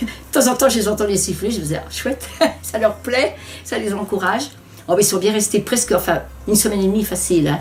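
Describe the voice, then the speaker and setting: The pace is very fast, broken by long, frequent pauses, with ordinary pitch variation. Noticeable background noise is present. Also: woman, medium pitch for a woman. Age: 70s. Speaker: home adaptation beneficiary. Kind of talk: testimony. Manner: halting.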